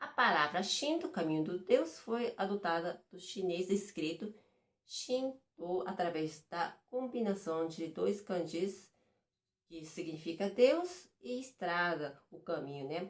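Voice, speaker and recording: Very slow in pace, a woman with a non-native accent speaks at a medium pitch, using lively intonation and big swings in loudness. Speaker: vlogger. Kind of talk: reading aloud; casual explainer vlog. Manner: halting.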